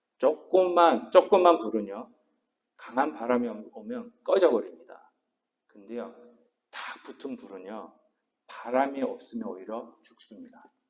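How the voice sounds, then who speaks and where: A man speaks at a fairly slow pace with long, frequent pauses, very wide pitch swings and big swings in loudness. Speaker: senior pastor. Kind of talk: sermon. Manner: stumbling over words.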